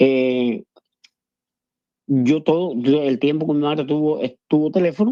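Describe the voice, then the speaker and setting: A man with a fairly high pitch and ordinary pitch variation speaks at a fairly slow pace, leaving long, frequent pauses. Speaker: caller. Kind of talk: phone-in call. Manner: halting, many repetitions.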